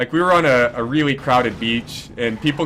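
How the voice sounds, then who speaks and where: A man speaks loudly at a medium pitch. His pitch variation is ordinary. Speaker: esports caster. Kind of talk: live commentary.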